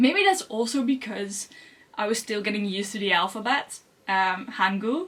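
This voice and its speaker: A woman with a Dutch accent speaks at a moderate pace with a fairly high pitch and ordinary pitch variation. Noticeable background noise is present. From Netherlands. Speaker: language learning youtuber. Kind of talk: vlog monologue. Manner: halting.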